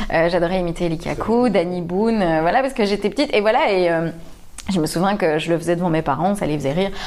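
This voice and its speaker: A woman's fairly low voice at a very fast pace, with audible room echo. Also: ordinary pitch variation, very even loudness. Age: 30s. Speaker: comedian. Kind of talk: casual interview chat.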